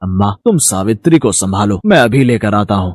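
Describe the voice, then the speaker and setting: Putting on a growling character voice, a man speaks at a moderate pace with a fairly low pitch and ordinary pitch variation. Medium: cartoon.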